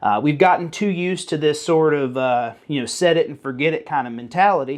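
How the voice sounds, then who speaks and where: Against a quiet background, a man with a Southern US accent talks at a fairly quick pace, his fairly high pitch showing ordinary variation. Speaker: firearms YouTuber. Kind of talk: informal tutorial. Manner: casual, animated.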